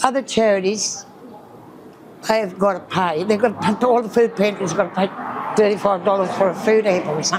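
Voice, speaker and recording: At a fairly quick pace, a woman speaks with a medium pitch and fairly even intonation, leaving long, frequent pauses. Noticeable background noise is present. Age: 70s. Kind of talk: interview. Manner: halting.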